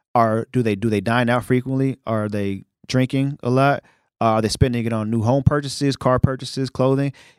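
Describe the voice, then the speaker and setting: An ordinary speaking voice, a man with an American accent talks at a fairly quick pace in a medium pitch with fairly even intonation, the sound dry and close with no echo. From New York City (Brooklyn). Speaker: media company founder. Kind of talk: casual interview. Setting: studio.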